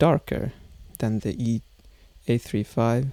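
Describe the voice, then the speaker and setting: Soft-spoken and fairly slow, a man talks in a dark, mellow tone. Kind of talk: casual talk to camera. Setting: home room, unconditioned.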